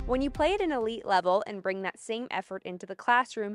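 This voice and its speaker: Her voice is a normal speaking voice, fairly high in pitch, with lively intonation at a fairly quick pace. The woman's sound is dry and close with no echo. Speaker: sports anchor and reporter. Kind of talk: TV sports news report.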